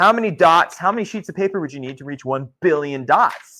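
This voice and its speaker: A man speaks at a fairly high pitch with a bright, sharp tone. His pace is fairly quick and his intonation lively. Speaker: geology instructor. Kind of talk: lecture. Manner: loud.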